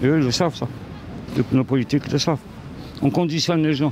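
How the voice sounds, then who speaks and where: A man with a fairly high voice and ordinary pitch variation. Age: 60s. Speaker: passer-by in street interview. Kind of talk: street interview.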